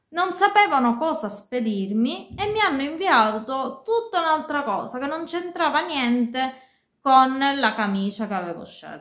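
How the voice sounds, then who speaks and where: A woman with a high pitch at a fairly slow pace, big swings in loudness, and audible room echo over a quiet background. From Sicily. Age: 30s. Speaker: fashion and beauty YouTuber. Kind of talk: casual talk to camera. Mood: disappointed complaint. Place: home room. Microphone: phone near.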